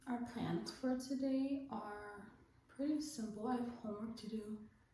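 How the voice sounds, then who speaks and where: A high-pitched voice belongs to a woman. Noticeable background noise and audible room echo are present. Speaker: vlogger. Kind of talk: casual chat. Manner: animated; whispering.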